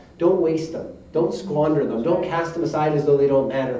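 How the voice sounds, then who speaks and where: Audible room echo surrounds the voice. Its pitch variation is ordinary. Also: man. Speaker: Baptist preacher. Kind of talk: sermon preaching to a congregation. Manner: conversational, earnest. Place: church. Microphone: podium.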